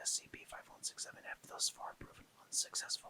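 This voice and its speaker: Someone is whispering. The pace is fairly quick. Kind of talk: ASMR SCP article reading. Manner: whispered, soft-spoken.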